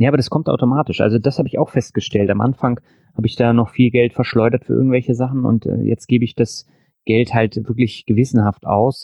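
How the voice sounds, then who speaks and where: Speaking very fast at a medium pitch, the man keeps a fairly even intonation and very even loudness. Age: 40s. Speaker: finance podcaster and blogger. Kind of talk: interview.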